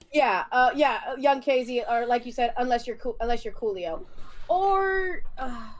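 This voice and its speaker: Noticeable background noise sits behind a woman with a high pitch and an animated tone. She speaks at a moderate pace with very wide pitch swings. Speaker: YouTuber, livestream guest. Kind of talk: casual chat. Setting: livestream.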